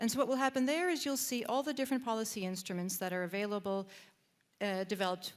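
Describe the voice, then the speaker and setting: Someone with a Canadian accent speaks with ordinary pitch variation in a very clean recording with a silent background. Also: woman. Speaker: database presenter at a policy event. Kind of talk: software demonstration. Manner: halting, many fillers and repeats.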